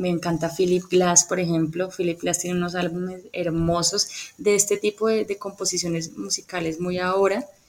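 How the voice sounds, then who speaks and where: A woman talks at a fairly quick pace with fairly even intonation. She has an ordinary speaking voice. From Colombia, Cali. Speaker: speech therapist and music therapist. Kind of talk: interview.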